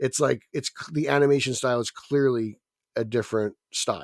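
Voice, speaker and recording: A man with a New Jersey accent talks at a fairly quick pace in a medium pitch, with ordinary pitch variation. The sound is dry and close, with no echo. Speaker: podcast co-host. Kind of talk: casual chat.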